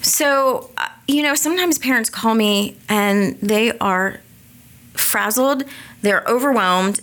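A woman talks at a very slow pace with lively intonation, a fairly high pitch, and very even loudness. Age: 40s. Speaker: dyslexia therapist. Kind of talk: interview.

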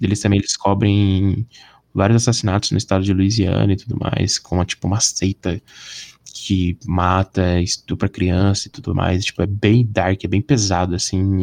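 This man has an unremarkable speaking voice, fairly low in pitch with fairly even intonation. He talks at a moderate pace, and the sound is dry and close with no echo. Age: 20s. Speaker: podcast guest, film enthusiast. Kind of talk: casual chat.

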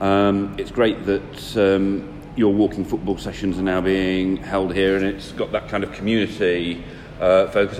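Over noticeable background noise, the speaker keeps a moderate pace and a monotone, flat intonation. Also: man. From Nottinghamshire, England. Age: 30s. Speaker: local councillor. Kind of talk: interview. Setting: leisure centre. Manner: hesitant, many fillers.

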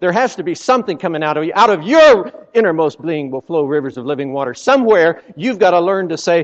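Lively intonation and an animated tone mark this man's speech. He talks at a fairly quick pace with a high pitch. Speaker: visiting preacher. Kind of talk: sermon. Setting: church with congregation. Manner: animated, exhorting, folksy with humor; fervent, punctuated by Amens and Hallelujahs.

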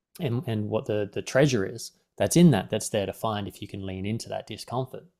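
At a fairly quick pace, this speaker has an unremarkable speaking voice with ordinary pitch variation. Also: man. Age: 40s. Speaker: life coach. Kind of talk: guided meditation; casual chat.

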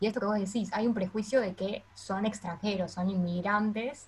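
A somewhat breathy woman's voice with a Rioplatense accent at a moderate pace. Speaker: podcast host. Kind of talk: podcast interview.

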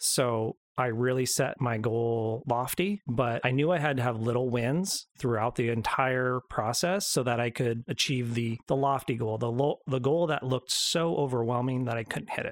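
A man speaks in an unremarkable speaking voice at medium pitch, with ordinary pitch variation. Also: moderate pace, hardly any pauses. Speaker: co-host and announcer. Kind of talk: casual chat.

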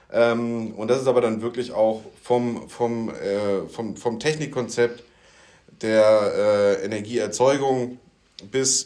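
A man talks at a very slow pace with a medium-pitched voice. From Rhein-Main region, Germany. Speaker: podcast co-host, smart building sales/solution architect. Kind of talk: casual chat. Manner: hesitant, many fillers.

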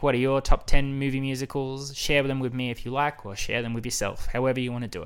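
A man with an Australian accent, a medium pitch and a very fast pace. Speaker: podcast host. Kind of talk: casual monologue.

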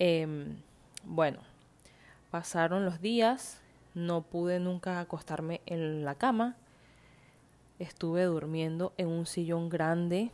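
At a very slow pace with long, frequent pauses, a woman speaks in a fairly low pitch with ordinary pitch variation. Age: 20s. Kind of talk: devotional talk; testimony.

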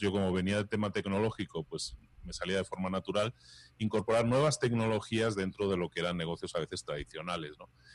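Fairly low in pitch, a man with an unremarkable speaking voice talks at a fairly quick pace with ordinary pitch variation. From Spain. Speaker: entrepreneur and podcaster. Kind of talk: interview.

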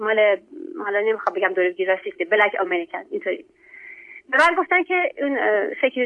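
A woman with a fairly high pitch swings very widely in pitch and takes long, frequent pauses. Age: 40s. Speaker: refugee caller. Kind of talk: casual chat. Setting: phone call. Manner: loud.

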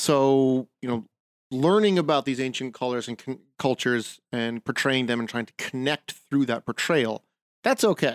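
A man's normal speaking voice at a medium pitch and moderate pace, with ordinary pitch variation and a dry, close sound with no echo in a very clean recording against a silent background. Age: 40s. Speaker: podcast co-host, medieval living history reenactor. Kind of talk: casual chat.

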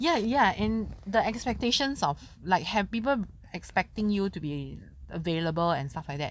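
With a Singaporean accent, a woman speaks at a moderate pace and a medium pitch, her pitch swinging very widely. The recording is very clean, with a silent background. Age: 30s. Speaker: podcast co-host. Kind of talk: casual chat.

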